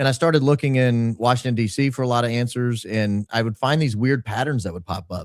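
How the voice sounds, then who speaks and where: Delivered at a very fast pace with hardly any pauses, the speech carries a slight Southern US accent and ordinary pitch variation. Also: man, medium pitch for a man. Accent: slight Southern twang. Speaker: podcaster and consultant. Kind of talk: interview storytelling.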